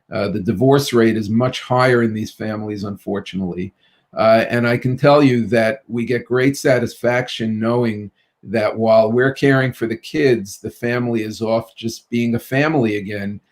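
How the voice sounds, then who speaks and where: In a New York accent, a man talks at a moderate pace with fairly even intonation. His pitch is medium, and the recording is very clean with a silent background. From Brooklyn, New York. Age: 50s. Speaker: pediatrician. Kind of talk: interview.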